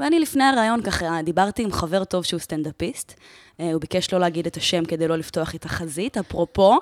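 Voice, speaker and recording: Speaking in an unremarkable speaking voice, a woman with a fairly low pitch and lively intonation moves at a fairly quick pace in a dry, close sound with no echo. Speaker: podcast host. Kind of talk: casual interview chat.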